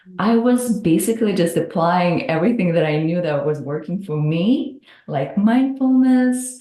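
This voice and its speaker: In a Russian accent, a woman speaks at a medium pitch with very wide pitch swings. Her pace is moderate, with hardly any pauses. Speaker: hypnotherapist. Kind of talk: podcast interview.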